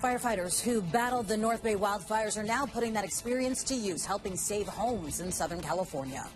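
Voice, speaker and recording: A fairly high-pitched woman at a fairly quick pace, with hardly any pauses, ordinary pitch variation and music in the background. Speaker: meteorologist. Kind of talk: TV news read.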